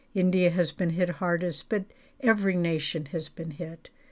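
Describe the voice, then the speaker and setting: A woman with a gentle tone, medium pitch and fairly slow pace, on a very clean recording with a silent background. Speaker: spiritual teacher giving a blog commentary. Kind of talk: devotional reading of a ceremony, then fervent prayer-like blessing. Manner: gentle, reverent, slow and heartfelt; earnest, comforting, prayerful.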